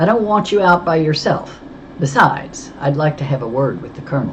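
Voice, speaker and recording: In a robotic put-on character voice, a man talks at a fairly quick pace with a fairly high pitch and lively intonation over clear background noise. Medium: read story. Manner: terse, cool.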